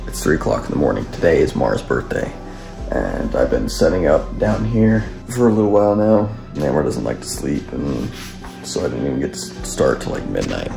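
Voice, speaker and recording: Clear music sits in the background while a man talks at a fairly quick pace. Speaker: vlogger husband. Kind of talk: casual vlog chat. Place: home room. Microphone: phone near.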